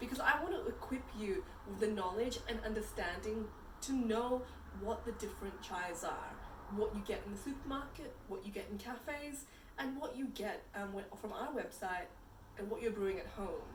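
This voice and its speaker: A woman speaks with a fairly high pitch and lively intonation. The room echoes audibly, and background noise is noticeable. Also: moderate pace. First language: Punjabi. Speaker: chai company founder. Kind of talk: tutorial.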